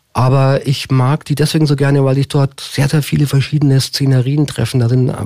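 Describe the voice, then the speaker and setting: Medium in pitch with a dark, mellow tone, a man talks at a moderate pace in a monotone, flat intonation. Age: 50s. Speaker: mayoral candidate. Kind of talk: radio interview. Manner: hesitant fillers.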